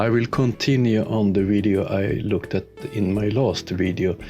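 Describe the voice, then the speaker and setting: A man in a Swedish accent speaks at a fairly slow pace with a fairly low pitch and fairly even intonation, with music playing in the background. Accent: clear Swedish. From Sweden. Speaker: YouTuber, science debunker. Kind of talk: video commentary. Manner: halting with fillers.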